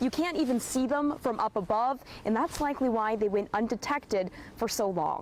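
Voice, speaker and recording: Against noticeable background noise, a woman speaks fairly quickly in a fairly high voice, her intonation lively and her loudness very even. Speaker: TV news reporter. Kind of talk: TV news reporting, live shots and packages.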